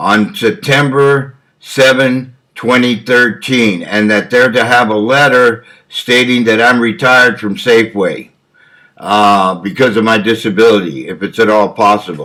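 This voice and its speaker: A man's voice with a bright, sharp tone moves at a fairly slow pace with ordinary pitch variation. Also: medium pitch for a man. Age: 70s. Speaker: injured worker making legal statement. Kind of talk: recorded legal statement. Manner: halting, many fillers.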